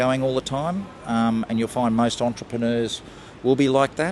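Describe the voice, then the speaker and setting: The speaker has an Australian accent and talks at a moderate pace with ordinary pitch variation. Noticeable background noise can be heard. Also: man. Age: 70s. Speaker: entrepreneur. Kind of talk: street interview. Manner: hesitant, with fillers and repeats.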